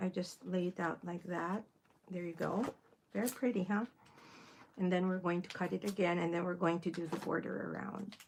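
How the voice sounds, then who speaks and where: A woman talks with a Filipino accent at a fairly low pitch. Her pace is fairly quick and her intonation fairly even. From Philippines. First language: Filipino (Tagalog). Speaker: crafting livestreamer. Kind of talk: casual livestream tutorial.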